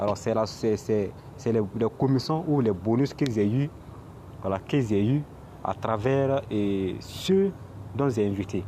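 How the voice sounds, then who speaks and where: Speaking very slowly with long, frequent pauses, a man with a non-native accent has a medium pitch, a dark, mellow tone, and ordinary pitch variation. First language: not French (speaking French). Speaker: crypto YouTuber. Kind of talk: screen tutorial. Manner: halting, many repetitions.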